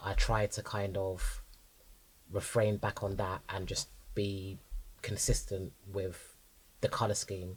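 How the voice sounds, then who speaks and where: A man with a London accent speaks at a very slow pace in a fairly low, somewhat breathy voice, his flat, monotone delivery broken by long, frequent pauses, on a very clean recording with a silent background. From North London. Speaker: designer and stylist. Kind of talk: casual interview chat.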